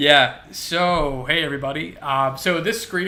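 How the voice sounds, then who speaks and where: A man speaks with a fairly high pitch and fairly even intonation. There is noticeable background noise. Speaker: artist streamer. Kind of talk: casual live stream chat. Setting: live stream. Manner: fast. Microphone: audio output issue at start.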